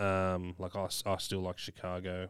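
A man speaks with an Australian accent. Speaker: podcast co-host. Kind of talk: casual chat.

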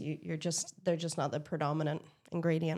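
A woman with a Northern Irish accent talks at a fairly quick pace in a fairly low pitch. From Northern Ireland. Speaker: beer expert, brewery sales manager. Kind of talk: casual chat.

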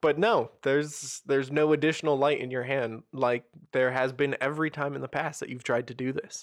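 Over a quiet background, a man with an unremarkable speaking voice and a fairly high pitch talks at a fairly quick pace. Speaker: game master running tabletop role-playing game. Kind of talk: tabletop roleplaying game podcast, narrating and hosting.

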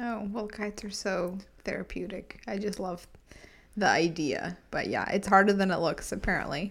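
A woman's medium-pitched, a normal speaking voice, with fairly even intonation at a moderate pace. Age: 20s. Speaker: podcast co-host. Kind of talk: casual chat.

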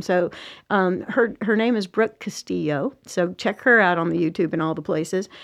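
Against a quiet background, a woman with an American accent speaks at a moderate pace in an unremarkable speaking voice with lively intonation. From US South. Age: 50s. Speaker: executive coach. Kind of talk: casual chat. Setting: studio.

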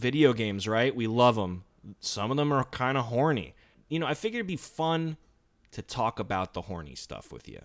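Over a very clean recording with a silent background, a man talks at a fairly quick pace. His pitch is medium and his intonation lively. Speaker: podcast co-host. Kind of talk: casual chat. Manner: animated.

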